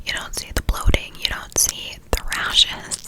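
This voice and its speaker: A woman whispers at a moderate pace against noticeable background noise. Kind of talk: ASMR whisper ramble, personal talk to camera. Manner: whispered, soft-spoken.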